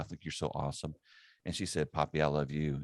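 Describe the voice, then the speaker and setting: With a Southern US accent, a man speaks at a very deep, low pitch in a dry, close sound with no echo. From US South (South Carolina). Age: 50s. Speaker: ministry network executive director and podcast host. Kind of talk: casual chat. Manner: halting, with frequent repetitions.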